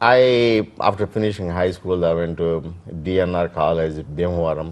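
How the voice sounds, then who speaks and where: A man with an Indian accent has a very deep, low pitch. He speaks at a moderate pace with ordinary pitch variation. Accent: Indian English (Telugu). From India, Andhra Pradesh (Krishna district village). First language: Telugu. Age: 60s. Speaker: immigrant interviewee. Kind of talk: oral history interview. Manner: halting, many fillers.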